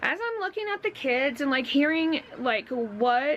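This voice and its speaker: Loud and high-pitched, a woman talks with very wide pitch swings. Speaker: vlogger. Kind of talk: casual chat.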